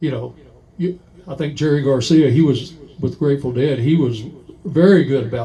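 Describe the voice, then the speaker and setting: In a dark, mellow, somewhat breathy tone, a man talks at medium pitch with ordinary pitch variation. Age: 60s. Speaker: musician and record collector. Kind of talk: casual chat. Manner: halting, many fillers.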